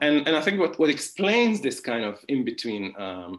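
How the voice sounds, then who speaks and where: Against a quiet background, a man speaks at a moderate pace with vocal fry and very wide pitch swings. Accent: Hungarian. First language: Hungarian. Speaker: philosophy professor. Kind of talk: academic conference talk. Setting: online conference. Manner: hesitant, many fillers and restarts; informal, conversational.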